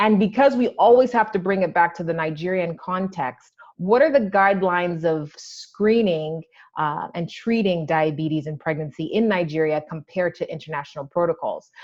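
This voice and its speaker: Here is a woman with an unremarkable speaking voice, pitched fairly low. She talks at a moderate pace with lively intonation. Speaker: maternal fetal medicine doctor. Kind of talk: lecture.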